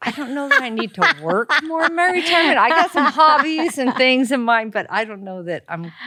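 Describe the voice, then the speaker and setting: A woman's raised, projected voice with an American accent, high in pitch, animated in tone, with very wide pitch swings, big swings in loudness, a fairly quick pace, hardly any pauses and noticeable background noise. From Texas. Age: 60s. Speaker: restaurant owner. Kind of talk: interview conversation.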